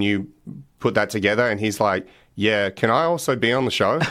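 A man with an Australian accent talks in a fairly low pitch. The recording is very clean, with a silent background. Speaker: punter and podcast host. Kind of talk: casual interview. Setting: radio studio.

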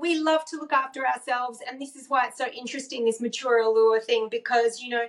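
A woman with an Australian accent, high-pitched and upbeat, animated in tone, at a moderate pace. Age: 50s. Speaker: wellness coach and author. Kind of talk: interview conversation.

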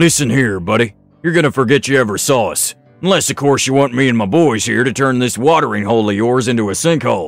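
In a put-on character voice, the speaker races along at a very fast pace over faint background music. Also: man, medium pitch for a man. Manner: intimidating, menacing.

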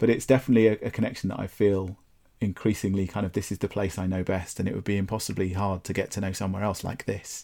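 A man in a southern English accent, fairly low-pitched with a dark, mellow tone, fairly even intonation, at a very fast pace, on a very clean recording with a silent background. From southern England, Brighton. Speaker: landscape photographer and gallery owner. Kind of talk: casual interview chat.

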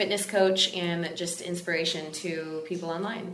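A woman speaks in a fairly low, monotone voice with flat intonation. Noticeable background noise and audible room echo fill the recording. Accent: American. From Texas. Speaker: fitness influencer and coach. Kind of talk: casual interview chat.

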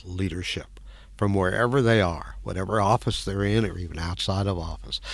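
With an American accent, a man talks at a moderate pace in a fairly low pitch, showing ordinary pitch variation and vocal fry. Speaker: former congressman. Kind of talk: interview. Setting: studio. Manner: halting, repeats words.

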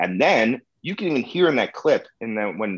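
Against a quiet background, a man with an American accent speaks in an animated tone. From US Midwest, Chicago. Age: 30s. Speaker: comedy show producer. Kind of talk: casual interview.

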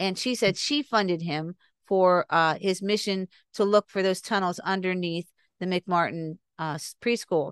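In a plain, everyday voice, a woman of medium pitch speaks at a fairly slow pace with ordinary pitch variation, in a dry, close sound with no echo and a quiet background. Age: 60s. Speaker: podcast guest on recovered memories. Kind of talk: interview.

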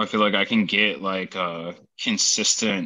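A man speaks with a very deep, low pitch. His tone is bright and sharp. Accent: American. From Wisconsin. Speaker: tattoo artist. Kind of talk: casual chat.

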